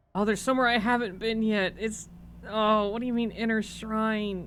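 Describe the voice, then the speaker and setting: A very clean recording with a silent background and a fairly slow pace. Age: young. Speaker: streamer. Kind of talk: casual chat. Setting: live stream while gaming. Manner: animated.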